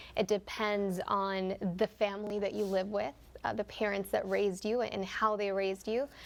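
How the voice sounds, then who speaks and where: A woman with a Spanish accent, fairly high in pitch, at a moderate pace, on a very clean recording with a silent background. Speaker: TV news reporter. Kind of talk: TV panel discussion.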